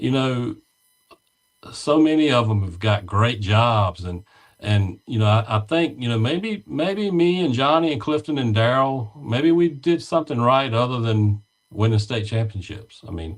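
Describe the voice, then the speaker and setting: A man speaks fairly slowly in an ordinary speaking voice. His medium pitch moves with lively intonation. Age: 60s. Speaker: former high school softball coach. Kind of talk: casual interview chat.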